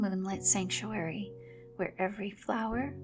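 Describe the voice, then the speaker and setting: A woman speaks softly. Music plays in the background. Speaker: voice actor. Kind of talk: sleep story. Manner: soft-spoken, slow.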